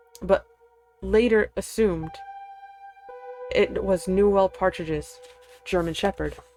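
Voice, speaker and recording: Music plays in the background as a woman speaks. Her pace is fairly slow, with long, frequent pauses. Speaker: streamer. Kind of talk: scary story reading. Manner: halting, fumbling reading.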